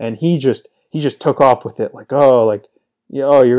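A man's medium-pitched, dark and mellow voice at a fairly quick pace, with ordinary pitch variation, in a dry, close sound with no echo. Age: 20s. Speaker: fantasy sports podcast host. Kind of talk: solo casual monologue. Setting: talking into a microphone. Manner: off the cuff, unscripted.

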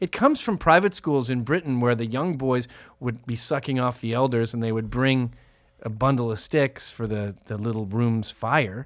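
An unremarkable speaking voice from a man, medium-pitched with ordinary pitch variation, at a moderate pace on a very clean recording with a silent background. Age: 40s. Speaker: podcast host. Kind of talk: casual comedic banter. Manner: joking, irreverent.

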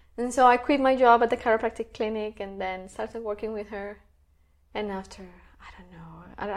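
With a Spanish accent, a woman speaks at a fairly quick pace in a fairly high voice, her intonation fairly even and her loudness swinging widely. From Colombia, Bogota. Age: 30s. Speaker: energy healer and health coach. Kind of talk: interview.

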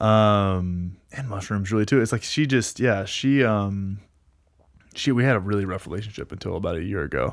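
On a very clean recording with a silent background, a man with a fairly low pitch and an ordinary speaking voice talks at a moderate pace. He has an American accent and ordinary pitch variation. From North Texas. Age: 30s. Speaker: lifestyle coach, former gym owner. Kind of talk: casual chat.

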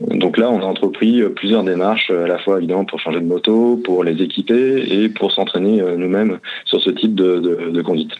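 This man talks at a moderate pace with hardly any pauses, his fairly low pitch carried by fairly even intonation. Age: 30s. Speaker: motorcycle traveler. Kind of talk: interview. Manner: halting.

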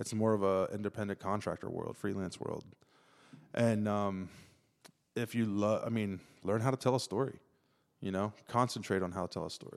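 With an Ohio accent, a man speaks at a moderate pace and fairly low pitch in a monotone, flat intonation, leaving long, frequent pauses. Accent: Midwestern US (Ohio). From Ohio (Zanesville). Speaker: photojournalist. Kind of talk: casual interview chat.

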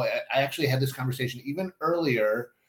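The man's voice is somewhat breathy, with a fairly high pitch and ordinary pitch variation. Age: 50s. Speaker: parenting podcast co-host. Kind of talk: casual chat.

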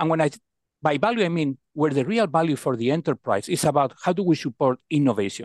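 A man with a Spanish accent talks at a very fast pace with fairly high pitch and lively intonation. The background is quiet and the sound is dry and close, with no echo. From Spain. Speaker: procurement executive. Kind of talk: interview.

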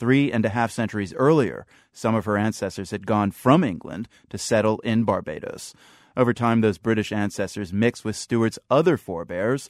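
This man has a plain, everyday voice, medium pitch and a fairly quick pace. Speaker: radio host. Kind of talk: radio interview.

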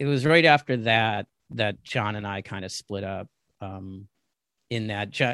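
A man with an American accent speaks at a moderate pace in a medium pitch with ordinary variation, a normal speaking voice. The sound is dry and close with no echo, over a quiet background. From US East Coast. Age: 50s. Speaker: wrestling photographer. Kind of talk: interview.

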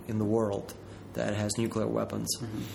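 A moderate pace in a Ukrainian accent. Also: man. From south central Ukraine. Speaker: Peace Corps project manager. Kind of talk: interview. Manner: halting.

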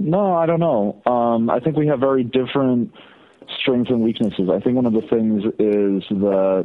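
In an unremarkable speaking voice at medium pitch, a man talks at a moderate pace with lively intonation and very even loudness. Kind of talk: interview discussion.

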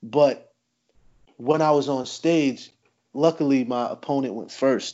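A man talks in an unremarkable speaking voice at a fairly high pitch. His pace is fairly slow and his intonation fairly even. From New Jersey, US. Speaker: battle rapper. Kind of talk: casual chat.

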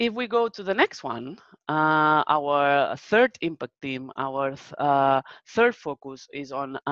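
A woman's very deep, low voice with a Spanish accent, very wide pitch swings and big swings in loudness, dry and close with no echo against a quiet background. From Spain. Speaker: research manager presenter. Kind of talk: webinar presentation with Q&A. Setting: video call webinar.

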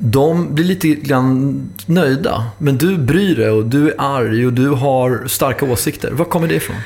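A fairly high male voice at a fairly slow pace with hardly any pauses, ordinary pitch variation and very even loudness, over noticeable background noise. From Stockholm. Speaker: podcast host. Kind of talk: interview.

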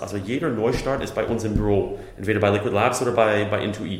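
Noticeable background noise and audible room echo accompany a man with an American accent speaking at a moderate pace. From USA. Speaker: startup company builder executive. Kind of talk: interview.

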